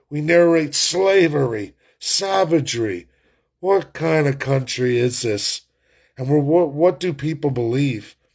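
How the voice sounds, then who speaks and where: With a plain, everyday voice, a man speaks at a fairly slow pace and fairly high pitch with lively intonation over a quiet background. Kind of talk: political rant to camera. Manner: angry, forceful.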